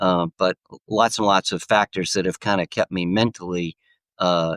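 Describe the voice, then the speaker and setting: A man's very deep, low voice at a moderate pace, with fairly even intonation, in a dry, close recording with no echo and a very clean, silent background. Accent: American. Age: 70s. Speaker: golfer and author. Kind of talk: podcast interview. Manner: halting, many fillers.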